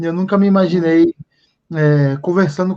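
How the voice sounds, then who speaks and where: At a moderate pace, a man speaks with high pitch. His intonation is fairly even. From Japan, Brazilian family. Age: 30s. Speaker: live stream host. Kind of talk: casual interview. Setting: online live stream.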